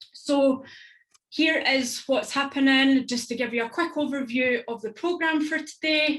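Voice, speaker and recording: Speaking with a strong Scottish accent, a woman uses a high pitch with ordinary pitch variation at a moderate pace. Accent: thick Stirling Scottish. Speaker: event host. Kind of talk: online event facilitation.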